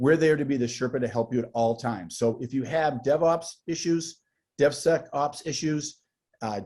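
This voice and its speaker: A man with a dark, mellow tone and ordinary pitch variation, on a very clean recording against a silent background. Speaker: tech company sales executive. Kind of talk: interview.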